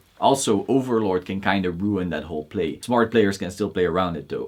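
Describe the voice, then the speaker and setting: A man with a Belgian accent speaks at a fairly quick pace with ordinary pitch variation against a quiet background. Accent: noticeable Belgian. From Belgium. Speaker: card game YouTuber. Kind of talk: Q&A video monologue. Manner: casual, opinionated.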